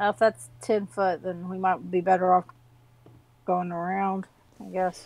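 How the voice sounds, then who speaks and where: A woman speaks at a medium pitch and a fairly slow pace, leaving long, frequent pauses. Her intonation is monotone and flat. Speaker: player in the game. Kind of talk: tabletop RPG session, casual banter.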